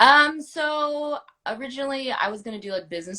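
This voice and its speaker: This woman has a bright, sharp tone. She speaks with an American accent. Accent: Texas drawl, slight, comes out sometimes. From Texas, Houston. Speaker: actor. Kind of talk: casual chat.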